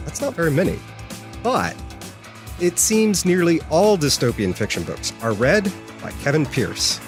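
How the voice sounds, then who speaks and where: With music playing in the background, a man speaks at a fairly slow pace and his pitch swings very widely. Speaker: podcast host. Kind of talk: podcast host intro and interview questions.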